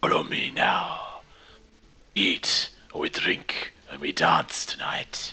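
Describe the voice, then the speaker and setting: Whispering in a put-on character voice, a man speaks at a very slow pace with long, frequent pauses. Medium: actual play. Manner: commanding, clipped and formal.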